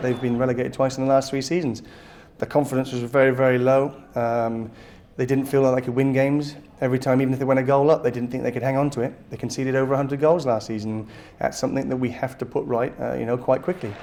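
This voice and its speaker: Noticeable background noise sits behind a man speaking at a very fast pace. His medium-pitched voice has monotone, flat intonation. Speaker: football manager. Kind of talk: news interview.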